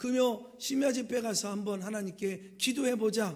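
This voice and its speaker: The voice moves at a moderate pace with audible room echo. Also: man. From rural South Korea. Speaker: pastor. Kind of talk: sermon.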